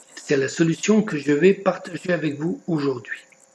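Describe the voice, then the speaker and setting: Against noticeable background noise, a man with a high pitch and lively intonation speaks at a very slow pace. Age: 70s. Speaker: network marketing recruiter. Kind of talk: sales pitch.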